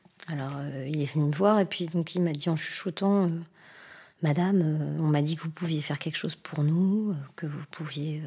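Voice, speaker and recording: A woman's very deep, low voice with a dark, mellow tone, somewhat breathy, at a moderate pace with fairly even intonation. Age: 40s. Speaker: nurse. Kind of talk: testimony. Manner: hesitant, many fillers.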